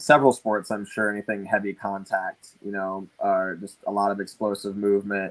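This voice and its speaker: An ordinary speaking voice at a moderate pace, recorded with a dry, close sound and no echo. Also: man. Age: 20s. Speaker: boxing coach. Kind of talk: casual chat.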